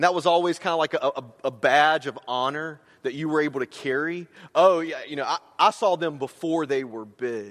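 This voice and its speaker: At a moderate pace, a man with an American accent talks at a fairly high pitch with ordinary pitch variation. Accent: slight Southern US, comes out at times. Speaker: campus minister, guest preacher. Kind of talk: sermon. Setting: church. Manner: halting, many repetitions and fillers.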